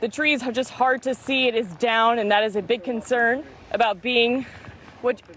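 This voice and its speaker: A woman's fairly high voice with ordinary pitch variation, a moderate pace, and noticeable background noise. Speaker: television news reporter. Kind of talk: TV news reporting.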